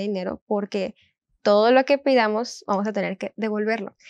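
The sound is dry, with no echo. A woman speaks at a moderate pace with ordinary pitch variation. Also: quiet background. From northern Mexico, Montemorelos, Nuevo León; Nuevo León, Mexico. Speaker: university student; guest. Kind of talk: Bible study discussion; interview answer. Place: studio. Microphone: lapel.

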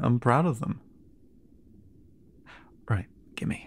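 A man whispers in a put-on character voice with a husky, rough edge. He goes at a very slow pace.

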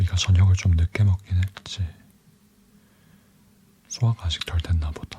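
A soft-spoken man with a very deep, low pitch talks at a moderate pace in a calm tone. His intonation is fairly even, with long, frequent pauses. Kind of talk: ASMR boyfriend roleplay. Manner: soft-spoken, calm.

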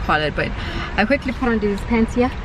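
A woman is speaking, and the sound is dry with no echo. Noticeable background noise is present. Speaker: travel vlogger mother. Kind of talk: casual vlog chat. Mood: cheerful, chatty. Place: car. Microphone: phone near.

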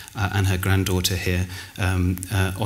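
Amid light background noise, a man talks at a moderate pace in an ordinary speaking voice. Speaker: conference speaker. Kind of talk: conference talk. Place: hall. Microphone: lapel.

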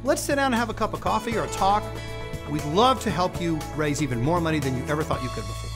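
Clear music plays in the background as a man speaks at a very fast pace. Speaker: charity benefit auctioneer. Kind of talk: promotional interview talk to camera. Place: studio.

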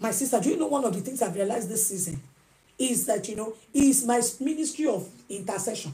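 A woman's dark, mellow voice, somewhat breathy, with lively intonation. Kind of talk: one-sided phone call, pastoral advice. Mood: emotional, pleading, animated. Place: home room.

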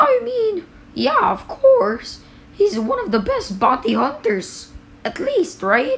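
A put-on character voice from a woman, high-pitched and at a fairly slow pace. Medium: machinima.

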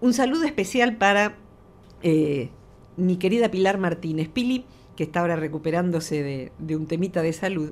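This woman has a fairly low pitch. Her intonation is lively. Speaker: psychologist; radio guest. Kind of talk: radio interview. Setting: studio. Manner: slow.

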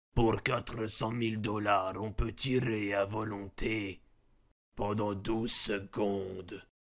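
This put-on character voice is raspy and moves at a fairly slow pace in monotone, flat intonation. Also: man, fairly low pitch for a man. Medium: dub.

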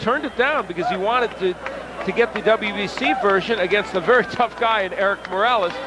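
Over noticeable background noise, a man with a high pitch speaks at a fairly quick pace with ordinary pitch variation, in a dry sound with no echo. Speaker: boxing commentator. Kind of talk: live commentary. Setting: ringside at a bull ring arena. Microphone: headset.

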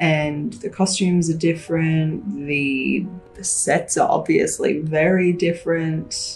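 A woman's fairly low voice with ordinary pitch variation, faint music in the background. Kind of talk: casual vlog Q&A. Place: office. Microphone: phone near.

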